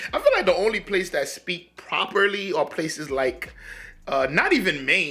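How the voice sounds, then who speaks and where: The man's tone is bright and sharp. He talks at a fairly slow pace. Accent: Haitian. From US, urban community, Haitian family. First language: Haitian Creole. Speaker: reaction video creator. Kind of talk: casual commentary. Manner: halting, repetitive stammering.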